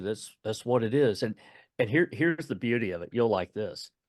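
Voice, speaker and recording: A man with a Texan accent speaks at a medium pitch, with ordinary pitch variation. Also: quiet background. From East Texas. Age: 60s. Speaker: author and retired Navy veteran. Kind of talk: interview. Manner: halting, repeating words.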